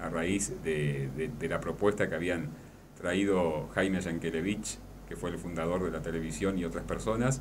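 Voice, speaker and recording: Against light background noise, a man with a very deep, low voice speaks at a moderate pace. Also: ordinary pitch variation. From La Paz, Entre Ríos, Argentina. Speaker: radio announcer and journalist. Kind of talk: radio interview answer. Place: studio. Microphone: studio mic.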